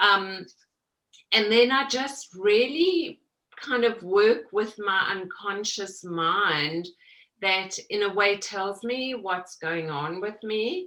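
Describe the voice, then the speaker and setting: Speaking at a very slow pace, a woman has a slight South African accent and lively intonation. Her medium-pitched voice has a bright, sharp tone. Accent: South African, slight after 30 years in US. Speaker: mixed media artist. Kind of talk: interview.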